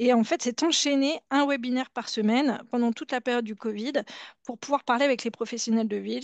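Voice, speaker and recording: A woman's fairly high voice with fairly even intonation, dry and close with no echo, against a quiet background. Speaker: healthcare director, oncology care pathways. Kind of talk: webinar presentation. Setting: online webinar. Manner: fast.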